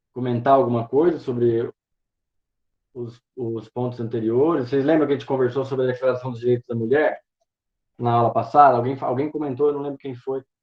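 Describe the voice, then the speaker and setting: A man speaks fairly quickly at medium pitch, with flat, monotone intonation. His loudness swings widely. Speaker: teaching intern giving a university class. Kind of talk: lecture. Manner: fast; halting, many fillers.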